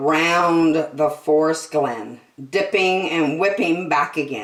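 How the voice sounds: A woman speaks slowly with low pitch and ordinary pitch variation. The room echo is audible.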